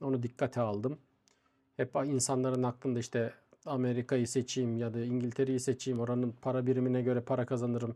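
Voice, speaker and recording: Over a quiet background, a man with a dark, mellow tone and medium pitch talks at a fairly quick pace in a monotone, flat delivery, his loudness very even. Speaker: YouTuber. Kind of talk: vlog.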